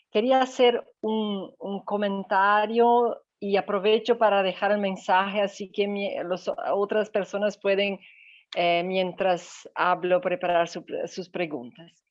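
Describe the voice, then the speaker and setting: Very slowly, a woman with a non-native accent speaks at a medium pitch with fairly even intonation. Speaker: migration researcher. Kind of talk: comment in online meeting.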